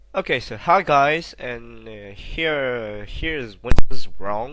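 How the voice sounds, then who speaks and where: With a non-native accent, a man speaks at a very slow pace and a medium pitch, his tone bright and sharp and his intonation lively. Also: big swings in loudness. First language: not English. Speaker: game modder. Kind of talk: software tutorial narration. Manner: hesitant, casual.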